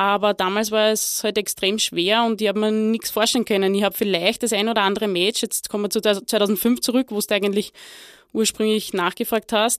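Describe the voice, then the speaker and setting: This woman speaks at a fairly high pitch with monotone, flat intonation. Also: fairly quick pace, dry, close sound with no echo. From Lower Austria. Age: 30s. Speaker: former football player and women's football director. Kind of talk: interview. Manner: halting, many fillers.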